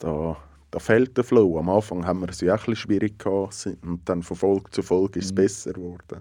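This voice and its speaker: A man's fairly low, dark, mellow voice in a Swiss accent at a fairly quick pace. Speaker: podcast co-host. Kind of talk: casual chat.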